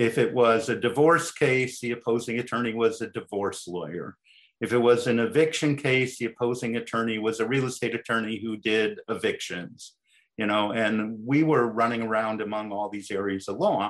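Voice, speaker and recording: A man with an American accent has a plain, everyday voice at medium pitch, with ordinary pitch variation. He talks at a moderate pace against a quiet background. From Chicago. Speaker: employment lawyer. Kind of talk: interview.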